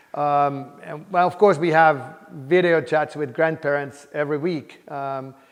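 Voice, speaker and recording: With a Finnish accent, a man speaks at a fairly slow pace in a fairly high pitch, with hardly any pauses. His intonation is fairly even, while his loudness swings widely. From Finland, Helsinki. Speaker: computer science professor. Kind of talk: interview. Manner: hesitant, many fillers.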